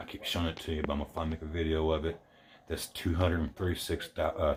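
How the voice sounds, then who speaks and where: A man speaks at a very fast pace in a very deep, low voice that is somewhat breathy. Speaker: model truck builder. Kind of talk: casual show-and-tell video. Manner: halting, repetitive.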